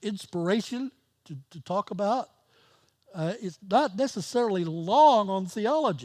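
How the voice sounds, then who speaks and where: Speaking at a fairly slow pace, a man with a high pitch uses lively intonation and big swings in loudness. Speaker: pastor. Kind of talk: sermon. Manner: halting.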